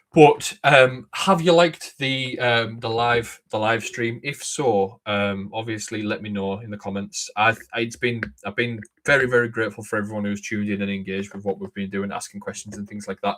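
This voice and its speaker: His loudness swings widely while this man talks at a medium pitch with ordinary pitch variation. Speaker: live stream host. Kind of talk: casual chat. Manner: fast.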